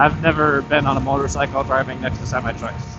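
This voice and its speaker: A man at medium pitch and moderate pace, with noticeable background noise. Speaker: motorcycle vlogger. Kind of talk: casual vlog narration while riding. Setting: on a motorcycle on the highway. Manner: loud, near yelling over wind.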